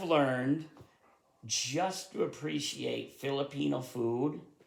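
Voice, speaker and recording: A man speaks very slowly with a Vermont accent, at a medium pitch and with vocal fry. Room echo is audible. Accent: Vermont accent, adds r to word ends. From rural Vermont, US. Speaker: YouTuber, history writer. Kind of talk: casual chat. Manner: halting, many fillers.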